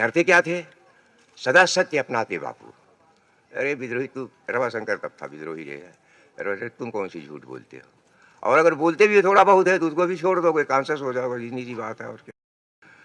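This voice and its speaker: A man at medium pitch speaks with very wide pitch swings and big swings in loudness. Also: moderate pace. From Uttar Pradesh, Sultanpur. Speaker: poet. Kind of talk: public speech.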